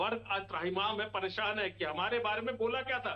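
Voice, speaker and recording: A man is speaking. His tone is animated. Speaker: opposition party spokesperson. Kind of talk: heated TV debate. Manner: animated, forceful.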